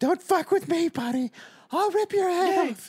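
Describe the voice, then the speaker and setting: This is a put-on character voice, squeaky and extremely high in pitch. It moves along at a moderate pace. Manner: menacing.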